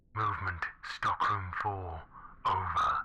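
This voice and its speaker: A put-on character voice hisses its way along at a fairly slow pace. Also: man. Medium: audio drama. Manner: terse, repetitive, unresponsive.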